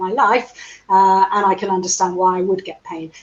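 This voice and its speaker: A woman with an English accent, medium pitch and a fairly quick pace. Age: 60s. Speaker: physiotherapist. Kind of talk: interview.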